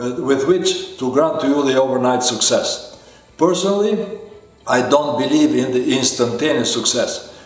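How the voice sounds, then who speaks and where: There is audible room echo and noticeable background noise. A man talks at a moderate pace. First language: not English. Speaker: life coach. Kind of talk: self-help talk to camera. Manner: hesitant with frequent fillers.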